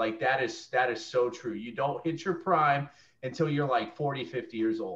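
At a moderate pace, a man speaks with a fairly high pitch and a somewhat breathy voice. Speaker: student. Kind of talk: casual chat. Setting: video call.

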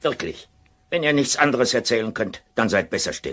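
A man puts on a character voice. He keeps a medium pitch and a moderate pace. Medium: audio drama. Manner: curt, commanding.

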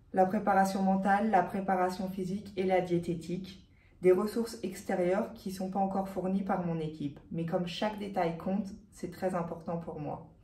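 A woman's dark, mellow voice comes through somewhat breathy, with monotone, flat intonation at a moderate pace. Audible room echo surrounds her. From France, Haute-Savoie; France. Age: 20s. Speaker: professional cyclist. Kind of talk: sponsorship pitch. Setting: hospital. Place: office. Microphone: phone near.

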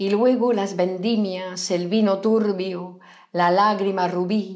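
In a dramatic tone, a woman speaks at a very slow pace with monotone, flat intonation against a quiet background. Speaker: poetry reader. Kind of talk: poetry reading, read aloud live. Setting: live stream. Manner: slow, emotive, dramatic delivery. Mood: expressive, lyrical. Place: home room. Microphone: lapel.

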